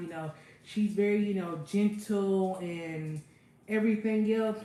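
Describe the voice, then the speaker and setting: A woman speaks with fairly even intonation. Noticeable background noise runs beneath her voice. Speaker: cooking livestreamer. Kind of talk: casual livestream chat. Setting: kitchen livestream.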